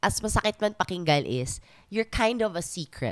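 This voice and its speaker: In a dry, close sound with no echo, a woman with a fairly high pitch speaks at a moderate pace, her pitch swinging very widely. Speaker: podcast host. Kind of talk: casual chat.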